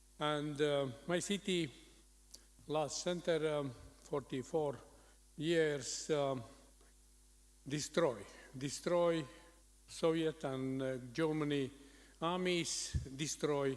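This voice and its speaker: Speaking very slowly with long, frequent pauses, a man with a Latvian accent keeps a fairly even intonation at a fairly high pitch. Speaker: city mayor. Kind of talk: conference presentation. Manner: halting.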